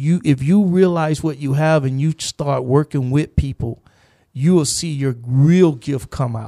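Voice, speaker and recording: In a dry, close recording with no echo, a man with a fairly high, dark and mellow voice speaks fairly slowly with ordinary pitch variation. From US South, Gainesville, Florida. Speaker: youth mentor and educator. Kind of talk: casual chat. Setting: studio.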